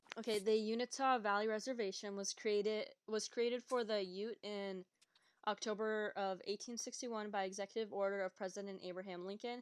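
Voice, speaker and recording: At a fairly quick pace, a woman with a fairly high pitch talks in a monotone, flat intonation. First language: not English. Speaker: podcast co-host. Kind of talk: reading notes aloud.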